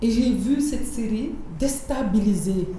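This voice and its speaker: With a Senegalese accent, a woman speaks very slowly in a fairly high voice with lively intonation, amid noticeable background noise and audible room echo. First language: Wolof (speaking French). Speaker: screenwriter and producer. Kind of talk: interview. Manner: code-switching French and Wolof; halting.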